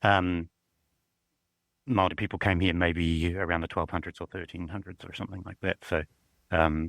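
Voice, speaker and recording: Here a man talks in a New Zealand accent. His very deep, low voice has monotone, flat intonation. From southern New Zealand. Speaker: university librarian. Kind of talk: casual interview.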